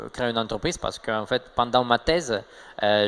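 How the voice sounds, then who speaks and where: Here a man talks at medium pitch with ordinary pitch variation. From Russia, Saint Petersburg. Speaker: tech startup co-founder. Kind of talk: interview. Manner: hesitant, many fillers.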